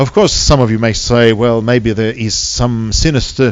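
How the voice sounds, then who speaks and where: A man with a Russian accent speaks at a medium pitch. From Soviet Union. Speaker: seminar lecturer. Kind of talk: public seminar lecture. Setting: hall with live audience. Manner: fast; hesitant with many fillers.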